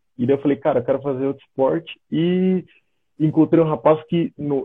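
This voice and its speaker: A man with a plain, everyday voice speaks at a fairly quick pace and a fairly high pitch. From Brazil, São Paulo state (São José dos Campos). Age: 30s. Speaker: American football linebacker. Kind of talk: casual live-stream interview.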